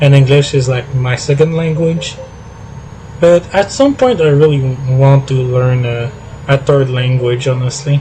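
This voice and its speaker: Someone with a Quebec accent speaks fairly slowly with fairly even intonation over noticeable background noise. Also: man, fairly high pitch for a man. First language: French. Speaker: gaming streamer. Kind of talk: casual live stream chat. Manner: halting, many fillers.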